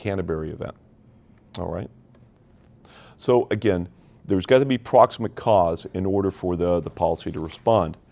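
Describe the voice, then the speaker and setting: A normal speaking voice from a man, fairly low in pitch with ordinary pitch variation, moves at a fairly quick pace over a quiet background. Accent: American. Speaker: insurance underwriter, seminar presenter. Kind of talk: professional seminar lecture. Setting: seminar room with audience, livestreamed. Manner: many fillers and restarts.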